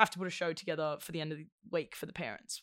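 On a very clean recording, silent background, a woman with an Australian accent speaks with a fairly low pitch in a dry, close sound with no echo. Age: 20s. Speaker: actor. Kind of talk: casual chat.

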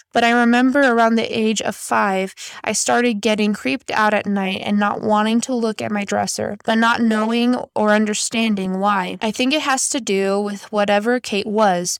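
The voice is an unremarkable speaking voice at a moderate pace. Its intonation is fairly even. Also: woman, hardly any pauses. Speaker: podcast host. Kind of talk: ghost story reading aloud, spooky bedtime-style storytelling of Reddit tales. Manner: casual and friendly in intro and outro.

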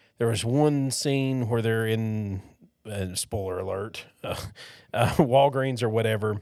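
A man in a normal speaking voice talks at a fairly slow pace with ordinary pitch variation. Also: medium pitch for a man. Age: 40s. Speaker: podcast co-host. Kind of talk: casual chat.

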